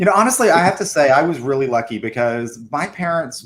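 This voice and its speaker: A man's plain, everyday voice with an American accent, lively intonation and a moderate pace. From US South. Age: 50s. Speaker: arts center director. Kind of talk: casual interview chat.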